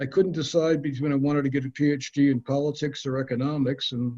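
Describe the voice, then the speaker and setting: Talking at a fairly quick pace, a man with a fairly high pitch sounds somewhat breathy. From Minnesota, north Minneapolis. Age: 70s. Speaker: housing attorney. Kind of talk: interview. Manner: halting.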